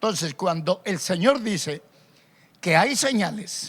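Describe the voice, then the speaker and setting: Pitch leaps across a very wide range. Bright and sharp describes the tone. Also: man. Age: 60s. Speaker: pastor. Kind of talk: sermon. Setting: radio broadcast and online stream.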